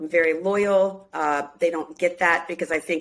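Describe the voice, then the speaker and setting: At a moderate pace, a woman with a fairly low pitch talks in a normal speaking voice with fairly even intonation. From US Midwest, Minneapolis. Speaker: singer and reality show cast member. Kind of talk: casual interview chat.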